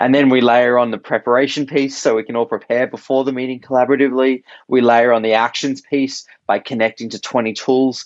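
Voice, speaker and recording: A man's medium-pitched voice with an Australian accent, fairly quick pace and fairly even intonation. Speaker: startup co-founder. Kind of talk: podcast interview. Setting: remote call. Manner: hesitant, many fillers.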